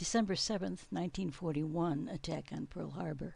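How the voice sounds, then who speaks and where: Speaking at a moderate pace with an American accent, a woman uses a fairly low pitch, ordinary pitch variation and some vocal fry. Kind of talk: family history narration over photos.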